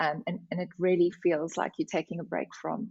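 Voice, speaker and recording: A woman with an Afrikaans accent. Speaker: HR director. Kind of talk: podcast interview.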